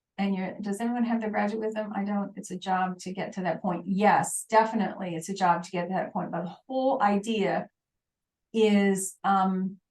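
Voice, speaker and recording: A woman speaks at medium pitch and a moderate pace, somewhat breathy. Her intonation is fairly even. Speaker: online course instructor. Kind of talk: live webinar teaching.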